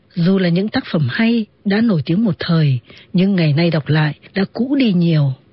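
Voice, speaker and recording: A somewhat breathy woman speaks at fairly low pitch and a moderate pace, with lively intonation and very even loudness. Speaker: radio presenter and literary narrator. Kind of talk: radio literary talk with read-aloud excerpts of novels. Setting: radio broadcast.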